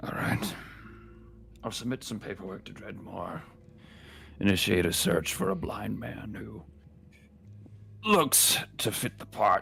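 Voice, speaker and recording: Putting on a raspy character voice pitched very deep and low, a man speaks at a fairly slow pace with long, frequent pauses amid clear background noise. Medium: actual play. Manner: clipped, official.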